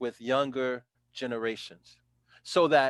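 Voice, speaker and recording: Speaking very slowly in a flat monotone, a man has an American accent. The recording is very clean and dry, close with no echo, over a silent background. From New York (South Bronx). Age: 60s. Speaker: former city councilor. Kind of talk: interview, testimony.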